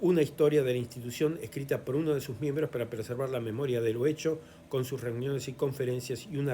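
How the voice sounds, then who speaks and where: At a moderate pace, this dark, mellow voice comes through somewhat breathy, with ordinary pitch variation. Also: man. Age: 70s. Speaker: historian and lecturer. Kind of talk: lecture. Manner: halting, frequent fillers.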